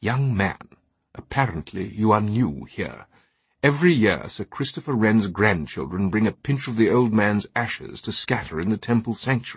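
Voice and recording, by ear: A man does a put-on character voice with a husky, rough edge. It sits at a fairly low pitch and a moderate pace. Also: lively intonation.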